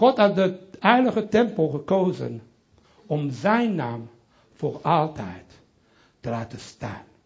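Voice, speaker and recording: Audible room echo surrounds a man speaking at a very slow pace. His pitch swings very widely. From Belgium, Brussels (Italian family). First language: French (speaking Dutch). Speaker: pastor. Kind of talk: sermon. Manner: halting.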